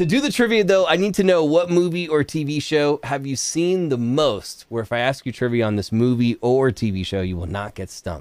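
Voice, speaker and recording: A man with a fairly high voice talks in an enthusiastic, animated tone, with very wide pitch swings, a moderate pace and hardly any pauses, and the sound is dry with no echo. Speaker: music reaction show host. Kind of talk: casual interview. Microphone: studio mic.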